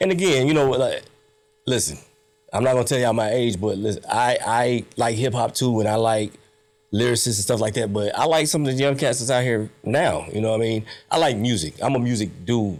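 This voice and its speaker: With an American accent, a man talks at a fairly quick pace at a medium pitch, with ordinary pitch variation and very even loudness. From Central Texas, Killeen. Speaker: podcast host. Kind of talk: casual chat. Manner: animated.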